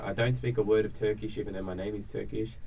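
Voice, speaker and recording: Here a man talks with an American accent at a fairly low pitch. His pitch variation is ordinary, and audible room echo surrounds the voice. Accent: Australian, shifted toward American. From Australia. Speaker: vlogger. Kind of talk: casual chat. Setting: round table in Guangzhou.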